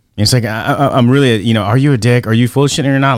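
A man talks at a very fast pace. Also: very clean recording, silent background. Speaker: podcast host. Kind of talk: casual chat.

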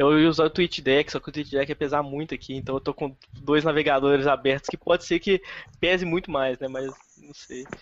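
In a plain, everyday voice, a man with a fairly high pitch speaks at a fairly quick pace, his intonation fairly even while his loudness swings widely. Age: 20s. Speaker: podcast host. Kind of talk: casual chat.

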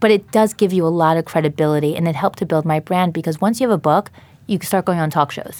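Someone with an American accent speaks at a very fast pace with ordinary pitch variation. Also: woman. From New York, Long Island. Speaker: dietitian and company founder. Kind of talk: interview. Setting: studio.

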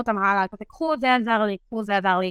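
In a dry, close recording with no echo, a woman with a plain, everyday voice speaks at a fairly quick pace, fairly high in pitch, with ordinary pitch variation. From Israel, Beersheba area. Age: 20s. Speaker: medical student. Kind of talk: interview.

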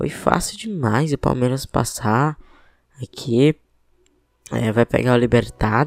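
In a dry, close recording with no echo, a man talks at a fairly slow pace, medium-pitched, with ordinary pitch variation. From Piauí, Brazilian Northeast. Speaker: football podcast host. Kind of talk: casual football podcast commentary.

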